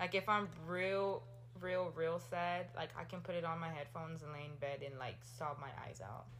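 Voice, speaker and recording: A woman's very deep, low voice at a moderate pace, with ordinary pitch variation and audible room echo. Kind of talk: casual chat. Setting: home recording.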